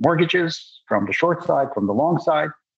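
A man speaks with a Russian accent. His pitch swings very widely. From Soviet Union. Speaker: investment firm founder. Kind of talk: interview. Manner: halting.

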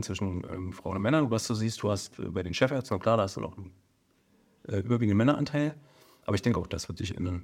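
In a very clean recording with a silent background, a man with a fairly low voice talks at a very fast pace. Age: 40s. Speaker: emergency physician and surgeon. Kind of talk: casual interview. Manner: hesitant, many fillers.

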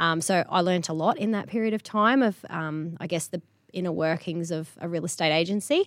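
Speaking at a fairly quick pace, a woman with a fairly low pitch shows ordinary pitch variation. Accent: Australian. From Queensland, Australia (Charters Towers). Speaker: real estate agency principal. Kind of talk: interview.

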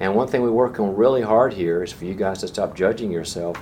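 A man with an American accent at a fairly quick pace, fairly even intonation, audible room echo and noticeable background noise. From US South. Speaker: leadership teacher. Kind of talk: lecture.

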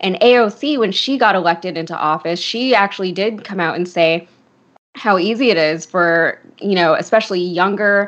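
A woman with an American accent has an ordinary speaking voice. She talks at a fairly quick pace and medium pitch. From Connecticut. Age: 30s. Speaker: political commentator. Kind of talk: casual political discussion.

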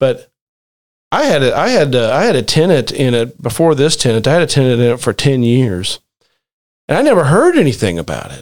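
A man with an unremarkable speaking voice at a medium pitch, at a fairly quick pace with lively intonation. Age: 40s. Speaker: real estate investor, podcast host. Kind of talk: casual chat.

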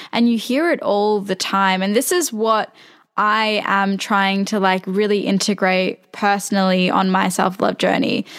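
Her intonation fairly even, a woman speaks against noticeable background noise. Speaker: podcast host. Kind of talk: casual interview chat.

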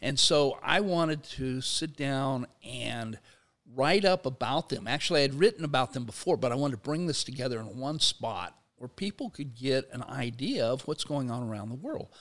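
At a moderate pace, a man speaks in a normal speaking voice at a medium pitch with ordinary pitch variation. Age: 60s. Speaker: sociology professor and labor activist. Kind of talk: in-depth interview. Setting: studio.

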